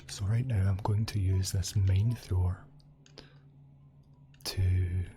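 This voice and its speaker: A soft-spoken man with a relaxed tone and very deep, low pitch, very slow pace with long, frequent pauses, fairly even intonation, very even loudness and noticeable background noise. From Scotland. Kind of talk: gaming commentary. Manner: soft-spoken, relaxed.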